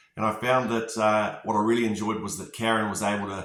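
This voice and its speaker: With audible room echo, a man talks at medium pitch. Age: 40s. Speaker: construction company manager giving a client testimonial. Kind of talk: testimony. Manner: hesitant, many filler words.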